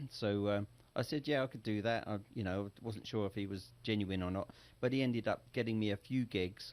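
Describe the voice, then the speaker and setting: A man speaks with an English accent. His pitch is fairly low, with ordinary variation. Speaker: singer and entrepreneur. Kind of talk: interview.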